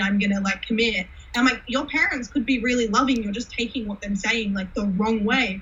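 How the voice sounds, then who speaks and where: With noticeable background noise, a woman talks at a very fast pace. She has a fairly high pitch and an American accent. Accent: Australian, shifts toward American on camera. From Australia. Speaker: cosplayer. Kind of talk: casual chat. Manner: animated.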